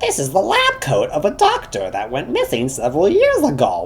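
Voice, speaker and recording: A man delivers his lines in a put-on character voice, keeping to a moderate pace. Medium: read story. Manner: quiet, strange.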